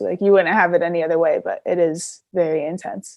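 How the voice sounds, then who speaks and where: A woman with a plain, everyday voice, medium pitch and an American accent, at a moderate pace. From California, US. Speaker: basketball player. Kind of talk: interview.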